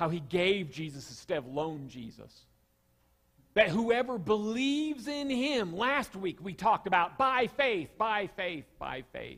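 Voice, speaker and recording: In a Southern US accent, a man with a high pitch speaks at a fairly slow pace over a quiet background, with very wide pitch swings and big swings in loudness. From US South. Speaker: pastor. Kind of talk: sermon. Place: church. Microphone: headset.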